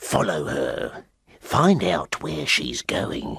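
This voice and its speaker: Putting on a character voice, a man growls at a very deep, low pitch and a very slow pace. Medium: read story.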